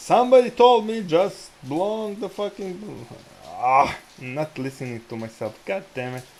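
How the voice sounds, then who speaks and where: A man talks at a fairly slow pace with a high pitch. His pitch swings very widely and his loudness varies a lot. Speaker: day trader, livestream host. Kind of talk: casual chat over live trading. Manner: stuttering.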